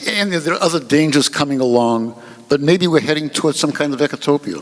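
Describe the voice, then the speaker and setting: A man talks at a very fast pace with a fairly high pitch and ordinary pitch variation. Noticeable background noise sits behind him. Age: 70s. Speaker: panelist. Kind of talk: panel discussion.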